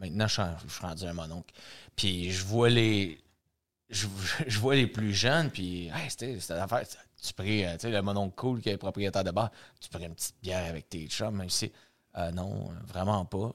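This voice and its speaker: A man with a Quebec accent, a fairly low pitch with ordinary variation, a moderate pace and big swings in loudness, in a very clean recording with a silent background. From Quebec, Saint-Jean-sur-Richelieu. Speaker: bar owner. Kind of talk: casual interview chat.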